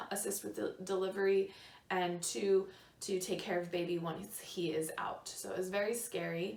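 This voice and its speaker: Speaking at a fairly slow pace, a woman uses a medium pitch in a room with audible echo. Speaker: lifestyle vlogger. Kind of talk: personal storytelling. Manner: hesitant fillers.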